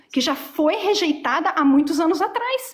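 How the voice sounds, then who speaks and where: Amid noticeable background noise, a woman with an extremely high voice talks at a moderate pace with lively intonation. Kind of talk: heated debate.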